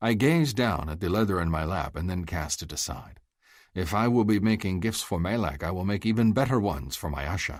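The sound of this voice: The reading voice here is unforced.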